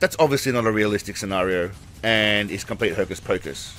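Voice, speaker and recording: Music plays in the background as a man speaks with an Australian accent. His pace is fairly quick and his pitch varies in an ordinary way. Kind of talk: comedic commentary narration. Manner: sarcastic, humorous.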